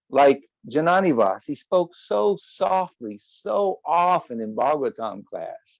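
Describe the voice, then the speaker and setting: A man with a Southern US accent speaks at a very slow pace, his fairly high voice making very wide pitch swings. The sound is dry and close, with no echo. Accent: Southern US (Oklahoma). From US South, Oklahoma. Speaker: religious teacher and guest speaker. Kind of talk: memorial talk, reminiscence. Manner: animated.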